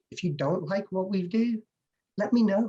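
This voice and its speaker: Somewhat breathy and dark, mellow in tone, this man's voice proceeds at a moderate pace. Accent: English. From England, English/Welsh border. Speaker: home inspector. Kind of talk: interview answer.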